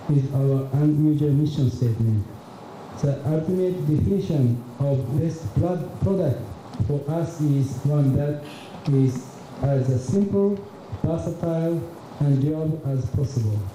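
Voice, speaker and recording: The voice moves at a fairly slow pace with long, frequent pauses and ordinary pitch variation, heard through audible room echo and noticeable background noise. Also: man. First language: Japanese. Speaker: business executive. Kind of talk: keynote presentation. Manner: halting, many fillers.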